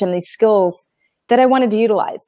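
With lively intonation, a woman speaks over a quiet background in a dry sound with no echo. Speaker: remote interview guest. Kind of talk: interview answer.

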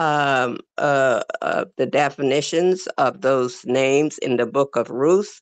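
With a very deep, low pitch, a woman talks at a very slow pace, the sound dry with no echo and the background quiet. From The Bahamas. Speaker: religious class speaker; speaker. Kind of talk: reading aloud. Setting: video call. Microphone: video call.

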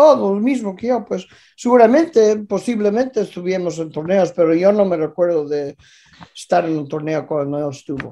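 The man's pitch is high, yet his tone is dark and mellow. He speaks at a moderate pace with lively intonation. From Canada (Vancouver area), born in Galicia. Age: 50s. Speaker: former boxing world champion. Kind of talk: casual interview chat. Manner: halting, repetitive. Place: home room. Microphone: video call.

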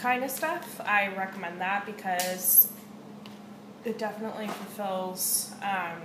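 Spoken at a fairly slow pace with ordinary pitch variation, the voice comes through noticeable background noise. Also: woman. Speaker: home vlogger. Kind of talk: casual vlog chat. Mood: relaxed, chatty, occasional swearing. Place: kitchen. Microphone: webcam.

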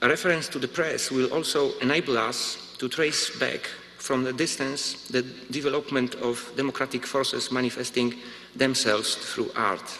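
A man with a Polish accent, medium-pitched, at a moderate pace with fairly even intonation. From Poland. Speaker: visual artist. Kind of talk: lecture. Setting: stage with audience. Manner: formal. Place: hall. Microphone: podium.

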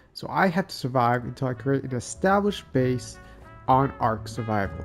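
With music in the background, a man of medium pitch speaks at a moderate pace, his pitch swinging very widely. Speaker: gamer. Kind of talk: gameplay commentary. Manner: casual.

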